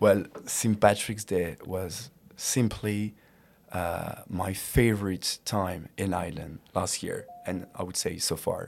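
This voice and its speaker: A man speaks very slowly with a French accent, his pitch fairly low and his intonation fairly even. The recording is very clean, with a silent background. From France. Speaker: student podcast host. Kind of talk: casual interview.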